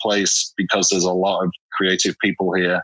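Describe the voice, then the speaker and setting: A man with a northern English accent speaks at a fairly low pitch in a bright, sharp tone. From northern England, Hull, Yorkshire. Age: 40s. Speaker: portrait photographer. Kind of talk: interview. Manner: hesitant, many fillers.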